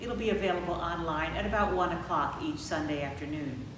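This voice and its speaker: Speaking at a fairly quick pace, a woman has a fairly low pitch. Noticeable background noise and audible room echo surround her voice. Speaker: pastor. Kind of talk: church announcements. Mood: warm, calm, welcoming. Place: church.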